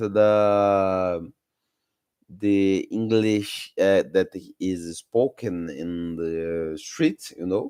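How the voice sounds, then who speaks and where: A man with a Brazilian Portuguese accent, fairly low in pitch with ordinary variation, speaking at a very slow pace against a quiet background. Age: 30s. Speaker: English-learning YouTuber. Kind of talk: live stream talk. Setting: live stream. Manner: halting, many fillers.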